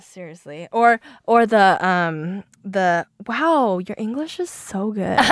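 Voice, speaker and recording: In a Mandarin accent, a woman with a medium pitch speaks at a very slow pace with lively intonation and big swings in loudness. The sound is dry and close, with no echo. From Seattle, US Pacific Northwest. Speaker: podcast co-host. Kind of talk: casual chat.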